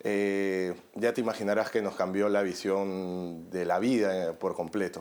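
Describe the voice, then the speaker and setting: Speaking at a fairly slow pace, a man keeps a fairly low pitch, monotone, flat intonation and very even loudness. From Peru. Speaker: journalist and documentary maker. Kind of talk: interview.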